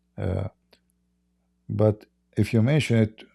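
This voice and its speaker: Speaking very slowly with an Arabic accent, a man has a fairly low pitch and a dark, mellow tone, in a dry, close recording with no echo that is very clean with a silent background. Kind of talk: live stream talk.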